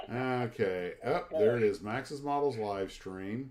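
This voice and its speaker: A man's fairly slow pace with lively intonation. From Florida. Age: 60s. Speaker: scale model hobby livestreamer. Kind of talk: casual chat. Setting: livestream with guests. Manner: halting.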